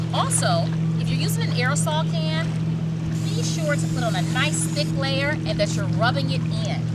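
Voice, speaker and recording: Over noticeable background noise, a woman speaks in an upbeat tone at a very even loudness. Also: moderate pace. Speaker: TV news reporter. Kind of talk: upbeat on-camera safety segment. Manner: upbeat, bright, friendly.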